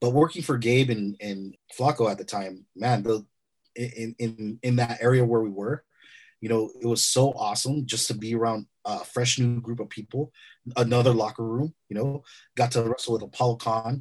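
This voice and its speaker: Speaking with an American accent in a normal speaking voice, a man keeps a medium pitch, fairly even intonation, and a moderate pace against a quiet background. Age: 40s. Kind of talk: casual chat.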